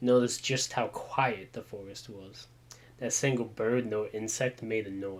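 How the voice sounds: The words come in a natural reading voice.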